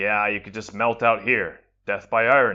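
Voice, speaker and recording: A man's raspy, put-on character voice at medium pitch, moderate in pace, with fairly even intonation and big swings in loudness. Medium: read story. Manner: blunt, wry.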